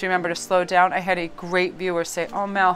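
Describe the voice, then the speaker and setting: A woman's animated, fairly quick delivery over music in the background. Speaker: tarot card reader. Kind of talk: tarot reading monologue to camera. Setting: filming at home in a new spot. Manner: fast.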